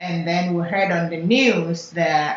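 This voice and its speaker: Speaking with a Ghanaian accent, a woman uses a fairly low pitch and fairly even intonation at a fairly slow pace. Noticeable background noise can be heard. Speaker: software engineer. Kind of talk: oral history interview answer.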